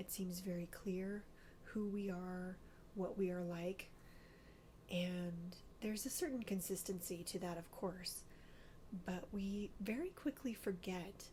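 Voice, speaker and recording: A soft-spoken, somewhat breathy woman at a medium pitch, with a dark, mellow tone, fairly even intonation, a fairly slow pace and long, frequent pauses. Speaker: ASMR and astrology video creator. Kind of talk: ASMR soft-spoken talk and book reading.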